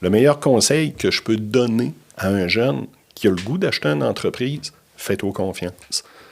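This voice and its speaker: A man speaks in a fairly low pitch at a moderate pace. His pitch swings are very wide. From Quebec, Bas-Saint-Laurent (Trois-Pistoles). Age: 60s. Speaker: business consultant. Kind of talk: podcast interview.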